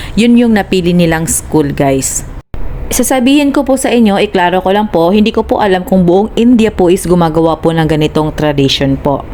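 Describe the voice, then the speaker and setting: Speaking with a Visayan accent at a fairly quick pace, a woman keeps her loudness very even while her medium-pitched voice makes very wide pitch swings over noticeable background noise. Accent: Visayan-accented Tagalog. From Philippines, Visayas. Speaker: vlogger. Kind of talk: casual vlog narration.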